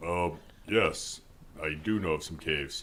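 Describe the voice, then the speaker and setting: Through clear background noise, a man puts on a character voice pitched very deep and low, speaking at a moderate pace with ordinary pitch variation. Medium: actual play. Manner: hesitant, uses filler sounds.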